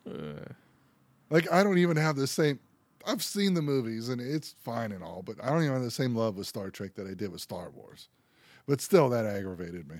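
A man's medium-pitched voice in an American accent, fairly quick, with very wide pitch swings and big shifts in loudness, on a very clean recording with a silent background. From Pennsylvania. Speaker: podcast co-host. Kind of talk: casual chat.

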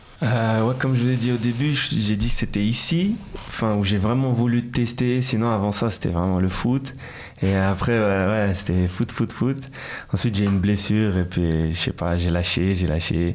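A man speaks at a moderate pace and fairly low pitch, keeping very even loudness and ordinary pitch variation. Audible room echo and noticeable background noise are present. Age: 20s. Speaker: rapper. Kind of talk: interview. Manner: casual, hesitant with repetitions.

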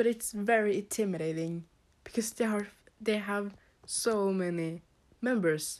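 A woman with a Norwegian accent, fairly slow, with long, frequent pauses. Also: medium pitch for a woman, ordinary pitch variation. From Norway. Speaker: podcast host and K-pop fan. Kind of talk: casual chat. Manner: halting, hesitant with fillers.

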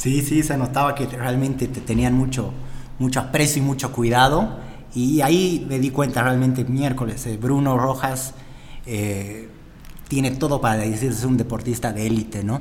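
Fairly even intonation marks a man's speech, with audible room echo around it. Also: medium pitch for a man, moderate pace. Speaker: podcast host, gym owner. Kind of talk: casual interview.

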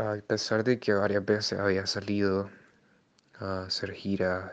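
The speaker talks at a fairly slow pace in a monotone, flat intonation. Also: man. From Nicaragua. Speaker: musician and music teacher. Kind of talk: interview testimony.

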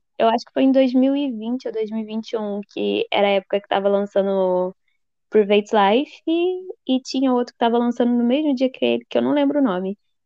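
A woman with a normal speaking voice, fairly high pitch, lively intonation, big swings in loudness and a moderate pace. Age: 20s. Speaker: journalism student and blog administrator. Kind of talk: casual chat.

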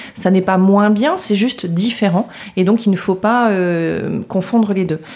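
A normal speaking voice from a woman, fairly slow, medium-pitched, with ordinary pitch variation. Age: 40s. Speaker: public relations agency founder. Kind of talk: podcast interview.

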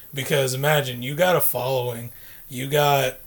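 Music plays in the background as a man speaks at a moderate pace. His voice is medium-pitched and monotone, with flat intonation. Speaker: guest. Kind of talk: casual chat.

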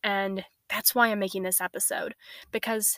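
A woman's plain, everyday voice at medium pitch, fairly quick and with fairly even intonation, in a dry, close sound with no echo. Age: 20s. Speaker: podcast host. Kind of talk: personal monologue.

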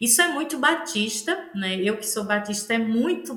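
With a northeastern Brazilian accent, a woman talks at a fairly slow pace and fairly high pitch, with audible room echo and noticeable background noise. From Northeast Brazil, Aracaju, Sergipe. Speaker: pastor and theologian. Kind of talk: interview conversation.

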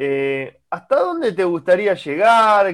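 A man talks with a Rioplatense accent. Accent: Argentine Spanish (rioplatense). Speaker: radio co-host. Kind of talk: radio interview.

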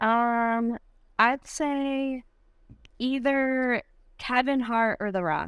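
A woman with an American accent speaks in a high pitch. Her pace is very slow, with long, frequent pauses. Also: ordinary pitch variation. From Michigan. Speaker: CrossFit athlete. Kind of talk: casual interview chat.

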